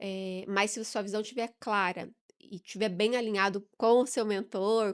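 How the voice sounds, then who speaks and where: A woman's ordinary speaking voice, medium in pitch, with fairly even intonation and a moderate pace, in a very clean recording with a silent background. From southern Brazil, Curitiba. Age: 40s. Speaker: business mentor and entrepreneur. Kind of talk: podcast interview.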